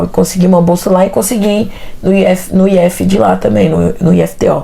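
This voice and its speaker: A woman speaks at a moderate pace with a Tocantins accent. Noticeable background noise runs behind her. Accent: Tocantins accent, kept. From Brazil, Tocantins. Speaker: interview guest, environmental technologist. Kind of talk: interview, life story. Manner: casual, hesitant with fillers.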